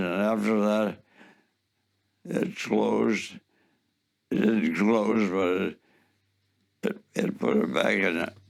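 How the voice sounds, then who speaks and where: A man speaks at a very slow pace. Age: 80s+. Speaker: war veteran. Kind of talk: interview answer.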